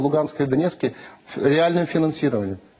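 Talking at a very fast pace, a man holds fairly even intonation at a fairly high pitch. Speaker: member of parliament; guest. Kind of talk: TV interview. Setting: studio. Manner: halting. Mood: critical, earnest. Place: studio. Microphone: lapel.

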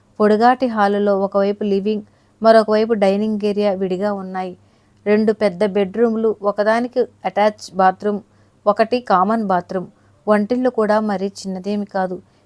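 A woman speaks at medium pitch with monotone, flat intonation. The sound is dry and close, with no echo. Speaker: audio story narrator. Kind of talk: reading aloud a story.

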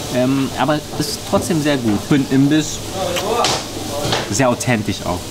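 Moderately paced speech from a man, with loud background noise. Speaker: food vlogger. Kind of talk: casual vlog chat. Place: cafe.

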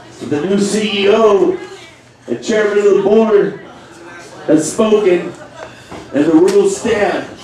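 Against noticeable background noise, a man with a high pitch speaks at a very slow pace, with long, frequent pauses and ordinary pitch variation. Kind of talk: wrestling commentary, live play-by-play call of a match.

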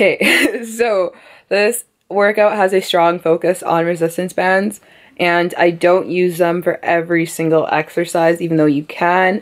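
A woman's fairly low voice at a moderate pace, fairly even in intonation, over a quiet background. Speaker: fitness vlogger. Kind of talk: casual vlog chat. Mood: relaxed, playful. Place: home room. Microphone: phone near.

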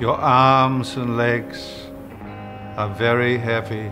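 Clear music plays in the background. A man speaks over it at a very slow pace. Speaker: actor. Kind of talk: parody relaxation tape read. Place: bar.

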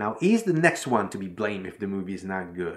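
Over a quiet background, a man's voice moves through very wide pitch swings. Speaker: filmmaking tutor. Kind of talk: tutorial. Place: home room.

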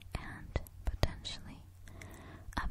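Whispering over noticeable background noise. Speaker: ASMR storyteller. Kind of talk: sleep story. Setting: close-mic home recording. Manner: whispered; soft, slow.

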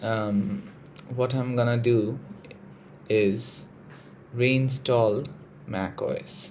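A man with an American accent, medium pitch, ordinary pitch variation and a somewhat breathy tone. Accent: Indian with American and British touches. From India. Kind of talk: casual tech tutorial to camera. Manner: hesitant, casual.

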